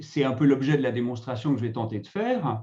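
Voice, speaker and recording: A man is speaking. His pitch swings very widely. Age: 60s. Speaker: retirement negotiation consultant, former HR director. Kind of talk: webinar presentation. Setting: online webinar.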